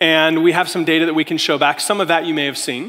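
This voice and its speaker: Against noticeable background noise, a man speaks with an American accent. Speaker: tech executive. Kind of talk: keynote speech. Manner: fast.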